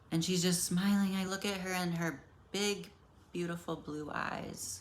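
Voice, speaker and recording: Fairly low-pitched woman's voice, monotone and flat, with audible room echo. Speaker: self-help vlogger. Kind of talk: casual personal monologue. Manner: halting.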